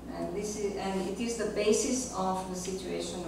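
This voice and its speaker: Strong room echo and noticeable background noise surround a woman speaking at a medium pitch. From Yugoslavia. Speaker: philosopher. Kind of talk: lecture. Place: classroom.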